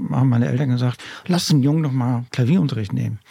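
A man speaks with a Dutch accent in a dark, mellow tone. His voice is somewhat breathy. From Netherlands, coastal region. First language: Dutch (speaking German). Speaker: singer-songwriter and music professor. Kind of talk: interview. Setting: office.

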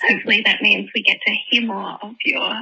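Speaking at a fairly quick pace, this voice has an Australian accent. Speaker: listener caller. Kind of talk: voicemail message. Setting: phone call.

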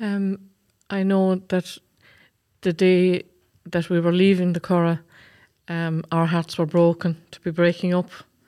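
Flat, monotone speech in a Waterford accent at a fairly slow pace, with long, frequent pauses and big swings in loudness, on a very clean recording with a silent background. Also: woman, fairly low pitch for a woman. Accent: Waterford Irish. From County Waterford, Ireland. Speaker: retired army sergeant. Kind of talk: interview.

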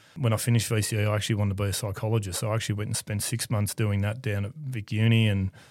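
A man with an Australian accent talks very fast at a fairly low pitch with fairly even intonation, recorded very cleanly against a silent background. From Melbourne, Australia. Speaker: events executive. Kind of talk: interview. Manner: measured.

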